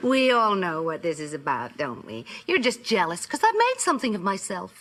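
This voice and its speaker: Fairly quick speech from a woman with an American accent, medium pitch and very wide pitch swings, over noticeable background noise. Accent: affected upper-class, posh-sounding. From Illinois. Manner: haughty, condescending.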